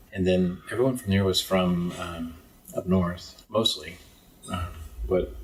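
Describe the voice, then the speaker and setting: Against noticeable background noise, a man with a very deep, low pitch speaks at a fairly slow pace with long, frequent pauses. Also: ordinary pitch variation. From East Texas, US. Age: 40s. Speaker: business consultant. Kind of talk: podcast interview.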